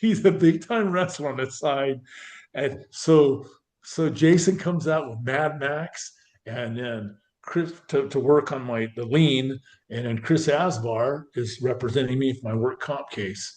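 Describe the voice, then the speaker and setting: A man with an American accent, fairly slow in pace, his fairly high pitch showing ordinary variation. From Northern California. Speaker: former pro football player. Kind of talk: interview storytelling. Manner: animated.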